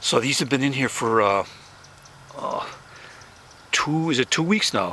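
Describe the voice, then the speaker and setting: Over noticeable background noise, a man speaks at a medium pitch and a moderate pace, with ordinary pitch variation. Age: 70s. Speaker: home gardener. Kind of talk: casual tutorial. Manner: halting, many fillers and repeats.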